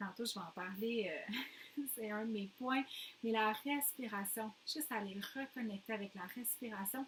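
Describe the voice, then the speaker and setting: Fairly high in pitch with ordinary variation, a woman speaks at a fairly slow pace. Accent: Quebec. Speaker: postnatal fitness coach. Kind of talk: casual talk.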